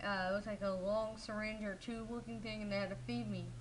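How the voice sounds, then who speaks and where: A fairly high-pitched woman with an American accent at a very fast pace, amid audible room echo and noticeable background noise. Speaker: vlogger. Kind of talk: personal vlog monologue.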